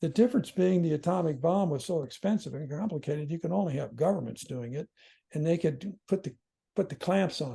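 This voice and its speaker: A man speaks at a high pitch in a dark, mellow tone. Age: 70s. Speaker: philosophy scholar. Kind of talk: podcast interview. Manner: halting.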